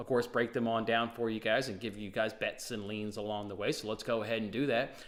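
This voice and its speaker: A man is speaking. He talks very fast. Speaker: sports betting show host. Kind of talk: sports betting picks show. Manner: animated.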